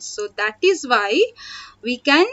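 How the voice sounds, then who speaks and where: Very wide pitch swings at a very slow pace. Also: woman. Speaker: school teacher. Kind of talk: online class lecture. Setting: online video class. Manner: loud.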